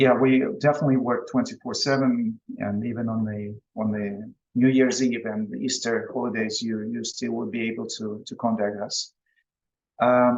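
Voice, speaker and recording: A man with a Russian accent, medium pitch and ordinary pitch variation. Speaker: business presenter. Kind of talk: online presentation. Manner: halting.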